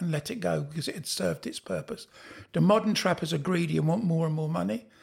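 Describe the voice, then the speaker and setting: Against a silent background in a very clean recording, a man with a British accent speaks at a fairly quick pace. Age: 70s. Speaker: falconer and author. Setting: at a falconry expo.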